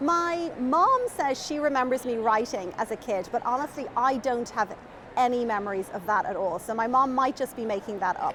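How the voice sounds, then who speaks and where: Noticeable background noise sits behind a woman with a high voice. She talks at a moderate pace with lively intonation. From Ireland, Dublin. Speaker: children's author. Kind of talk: interview chat.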